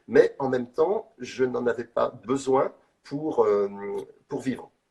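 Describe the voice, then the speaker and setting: Lively intonation marks this man's very slow delivery. His voice sits at a medium pitch with a dark, mellow tone. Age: 60s. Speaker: street artist. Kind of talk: interview. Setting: live video call. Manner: halting.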